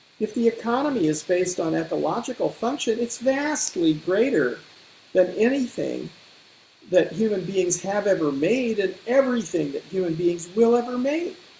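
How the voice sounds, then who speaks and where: High-pitched and lively in intonation, a man's voice carries the clip. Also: moderate pace. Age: 70s. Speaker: ecosystem restoration advocate. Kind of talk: panel discussion. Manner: reflective, with hesitations and repetitions.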